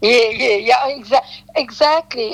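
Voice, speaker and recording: With a South African accent, a woman speaks at a high pitch over music in the background. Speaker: detox specialist. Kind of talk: interview. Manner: halting.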